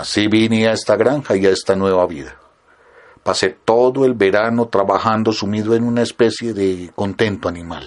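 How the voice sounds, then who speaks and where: A man speaks with a Colombian accent in a calm tone. His voice is fairly low in pitch. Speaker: audiobook narrator. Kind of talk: literary audiobook reading, read aloud from a written article. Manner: slow, measured, calm and reflective; formal, expressive narration.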